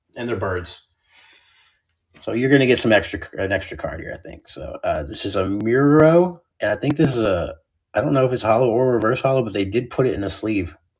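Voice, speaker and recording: With an American accent, a man speaks at a fairly quick pace and a medium pitch. His voice is somewhat breathy and his intonation lively. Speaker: card seller streamer. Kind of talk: live stream card sale. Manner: casual, chatty.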